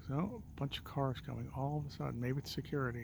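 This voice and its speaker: Soft-spoken and somewhat breathy, a man talks at a moderate pace with ordinary pitch variation. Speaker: realtor and vlogger. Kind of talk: casual walking vlog. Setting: outdoors at night on a hilltop street. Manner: quiet, soft-spoken.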